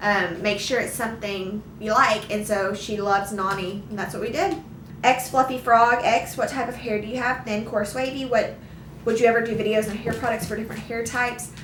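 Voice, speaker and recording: A woman's fairly high voice in an American accent, fairly quick and fairly even in intonation, with noticeable background noise and audible room echo. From Arkansas, US South. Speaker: vlogger. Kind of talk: casual Q&A chat. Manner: halting, many restarts.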